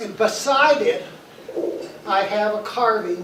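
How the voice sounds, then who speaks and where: A man's voice with ordinary pitch variation, amid noticeable background noise and audible room echo. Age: 80s+. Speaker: retired university warden. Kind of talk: reunion speech. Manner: halting, repeats words.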